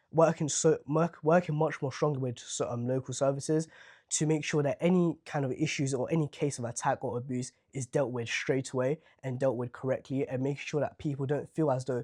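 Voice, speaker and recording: A man with a London accent speaks at a fairly quick pace and a fairly high pitch, with fairly even intonation. The sound is dry and close with no echo, against a quiet background. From Southwark, London. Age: young. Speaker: local council candidate. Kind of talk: interview answer.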